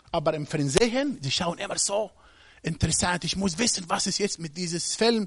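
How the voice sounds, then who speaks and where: A man's high voice in an Arabic accent, at a moderate pace with ordinary pitch variation. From Egypt. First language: Arabic (speaking German). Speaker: guest preacher. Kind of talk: sermon. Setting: church service with congregation. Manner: halting.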